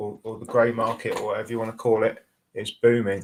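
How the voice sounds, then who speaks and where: A man's medium-pitched voice in a monotone, flat intonation. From southeast England, near London. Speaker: cannabis grower. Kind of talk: casual chat. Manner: halting.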